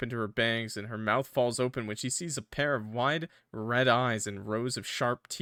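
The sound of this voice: An unforced reading voice keeps its intonation fairly even.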